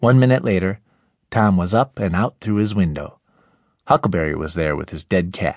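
A man speaks in a very deep, low voice with lively intonation. The pace is moderate and the sound dry and close, with no echo. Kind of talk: audiobook narration; abridged literary reading aloud of a classic novel. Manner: measured storyteller pacing, ominous hush in the graveyard scenes.

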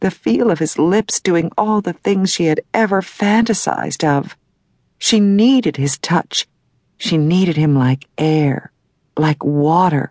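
With lively intonation and a fairly low pitch, a woman speaks in an unremarkable speaking voice, the sound dry and close with no echo. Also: fairly slow pace. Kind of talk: audiobook romance narration. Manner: sultry, breathy, slow and sensual pacing.

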